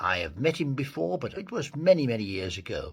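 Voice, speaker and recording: This man's voice carries vocal fry. The pitch rises and falls across a very wide range. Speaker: podcast host. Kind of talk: podcast interview host.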